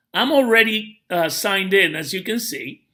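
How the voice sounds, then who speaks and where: Raised, projected male voice with a bright, sharp tone and ordinary pitch variation. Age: 60s. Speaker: network marketing promoter. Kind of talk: tutorial.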